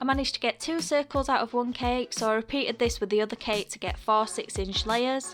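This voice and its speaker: Music plays in the background as the speaker talks with a British accent. The pace is fairly quick, with ordinary pitch variation. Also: woman. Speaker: cake decorator. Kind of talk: baking tutorial voice-over.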